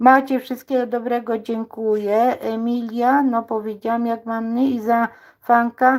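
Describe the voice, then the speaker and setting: On a very clean recording with a silent background, a woman with a fairly high pitch speaks at a fairly slow pace in a monotone, flat intonation. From Poland, village near Stargard (West Pomerania). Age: 60s. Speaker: cooking YouTuber. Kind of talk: live cooking stream chat. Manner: casual, hesitant with fillers.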